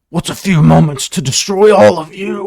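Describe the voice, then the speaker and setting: A put-on character voice growls at a middle pitch and a moderate pace. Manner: defiant, snarling.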